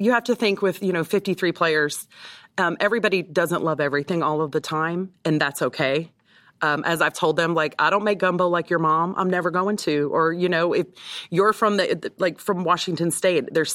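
A woman with a plain, everyday voice speaks at a moderate pace with ordinary pitch variation and fairly low pitch, captured on a very clean recording with a silent background. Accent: American. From Texas. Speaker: team chef. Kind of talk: interview.

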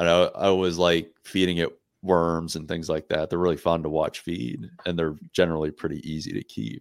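In a very clean recording with a silent background, a man with an American accent and a very deep, low voice speaks at a moderate pace with fairly even intonation. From Pittsburgh area, Pennsylvania. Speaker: wildlife biologist. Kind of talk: casual chat.

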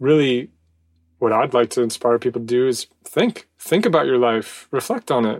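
A man's ordinary speaking voice at a medium pitch and moderate pace, with a dry, close sound and no echo. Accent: American. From United States. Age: 30s. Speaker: podcast co-host. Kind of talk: casual chat.

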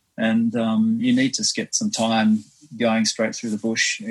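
A man speaks with an Australian accent. He keeps a moderate pace. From Western Australia, Perth. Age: 50s. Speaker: swim runner, marine biologist. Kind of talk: casual interview. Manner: halting, many fillers.

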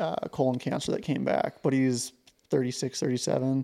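A man with an American accent and a medium pitch speaks in a normal speaking voice at a moderate pace. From southeast Montana. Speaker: podcast host. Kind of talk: casual chat.

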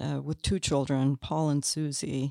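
A woman with an American accent at a fairly slow pace, dry, close sound with no echo, and a very clean recording against a silent background. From Canada then United States. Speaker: memoir author. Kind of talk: interview conversation.

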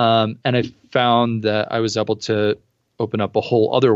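This man talks at a moderate pace with an American accent. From New Jersey. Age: 30s. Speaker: professional photographer and spirits company founder. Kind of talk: interview conversation.

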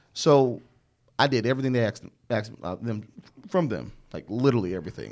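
Speaking at a very fast pace, a man with an American accent uses a medium pitch. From Chicago South Side.

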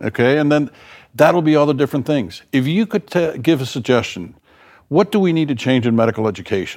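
An ordinary speaking voice with an American accent moves at a fairly quick pace with lively intonation and very even loudness. The recording is very clean, with a silent background. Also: man, fairly high pitch for a man. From South Florida. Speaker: podcast host and medical school dean. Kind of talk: interview. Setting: studio.

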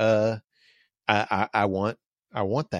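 The recording of this man with an American accent is very clean and dry, close with no echo and a silent background. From US South. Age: 40s. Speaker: podcast host. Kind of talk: casual chat.

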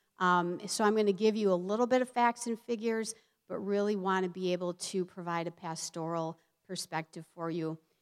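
In an ordinary speaking voice, a woman of medium pitch talks fairly quickly with ordinary pitch variation. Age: 50s. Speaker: therapist and preacher. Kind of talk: sermon. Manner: frequent filler words, conversational.

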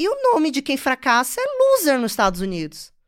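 An animated woman with a northeastern Brazilian accent speaks at a moderate pace in a high pitch with very wide pitch swings. The recording is very clean and the background silent. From Bahia, Brazil (Salvador / interior). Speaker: finance entrepreneur. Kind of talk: interview conversation.

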